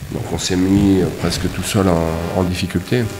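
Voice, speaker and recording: A man's very deep, low voice with fairly even intonation, plus audible room echo and noticeable background noise. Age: 60s. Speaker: football coach. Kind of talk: post-match press conference. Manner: hesitant, many fillers.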